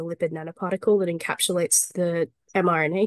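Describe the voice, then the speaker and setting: Very fast, flat, monotone speech from a woman at fairly low pitch, with a dry, close sound and no echo. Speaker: speaker at a party members' meeting. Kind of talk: lightning talk Q&A answer.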